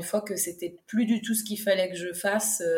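There is noticeable background noise as a woman speaks at a moderate pace with a medium pitch and monotone, flat intonation. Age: 30s. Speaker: food truck owner. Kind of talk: interview. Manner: halting.

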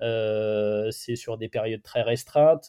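Intonation stays fairly level in this plain, everyday voice. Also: man. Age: 40s. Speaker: journalist and sports photographer. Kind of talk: interview. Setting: remote call from a hotel room.

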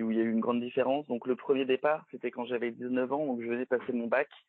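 Very fast speech from a man, medium in pitch, his intonation fairly even. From France. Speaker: expatriate worker. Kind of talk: interview. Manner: halting, many repetitions.

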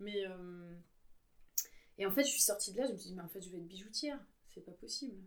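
Amid audible room echo, a woman with a medium pitch and lively intonation talks at a very fast pace, with long, frequent pauses and big swings in loudness. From Paris suburbs, France (Yvelines). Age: 40s. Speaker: illustrator and graphic facilitator. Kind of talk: conversational interview. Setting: home studio. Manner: hesitant, many filler sounds.

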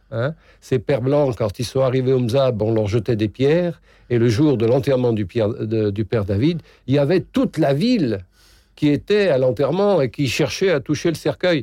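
Here a man speaks at medium pitch with a dark, mellow tone and lively intonation. His loudness stays very even, and the background is quiet. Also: moderate pace. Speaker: retired archbishop. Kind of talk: interview. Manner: halting.

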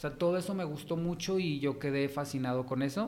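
With a Mexican accent, a man talks at a fairly quick pace and with fairly even intonation. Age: 30s. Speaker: fashion stylist. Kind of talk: interview.

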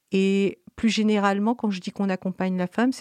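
A woman's dark, mellow tone, dry and close with no echo, in a very clean recording with a silent background. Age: 60s. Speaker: midwife. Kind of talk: interview testimony. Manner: halting.

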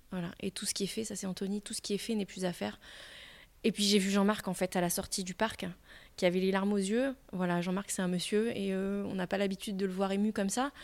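Her pace is fairly quick. This woman's intonation stays monotone and flat. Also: medium pitch for a woman, very clean recording, silent background. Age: 40s. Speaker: primary school teacher and amateur triathlete. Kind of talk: interview. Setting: at her school workplace.

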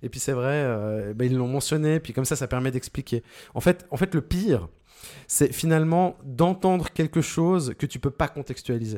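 A man speaks at a moderate pace with a fairly high pitch and lively intonation. His tone is dark and mellow, and the recording is very clean with a silent background. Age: 40s. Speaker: sound designer. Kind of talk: interview. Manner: clear, well-placed on the mic.

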